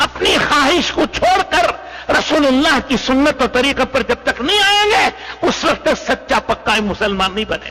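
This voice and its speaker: A man speaks in a raised, projected voice at an extremely high pitch, his pitch swinging very widely, with noticeable background noise behind him. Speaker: Islamic preacher (maulana), Tableeghi Jamaat lecturer. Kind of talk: Islamic sermon / religious lecture addressing an audience. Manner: earnest, preaching.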